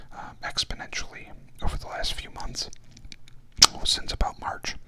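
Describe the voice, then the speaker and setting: A whispering man at a fairly slow pace, with big swings in loudness. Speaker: vlogger. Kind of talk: casual vlog chat. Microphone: studio mic.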